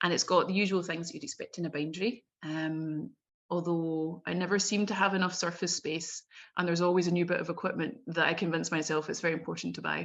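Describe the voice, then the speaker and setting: Very fast speech from a woman at a fairly low pitch, with fairly even intonation and a quiet background. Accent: Scottish. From Scotland, Glasgow. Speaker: bookbinder. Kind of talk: presentation talk. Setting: video call.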